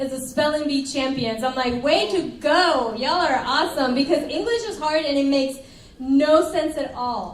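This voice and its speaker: In a room with audible echo and noticeable background noise, a woman talks in an animated tone at a moderate pace, her high pitch showing ordinary variation. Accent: Spanish. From Colombia, then Arlington, Texas from about age ten. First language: Spanish. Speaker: pastor. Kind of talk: sermon. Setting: church service, livestreamed.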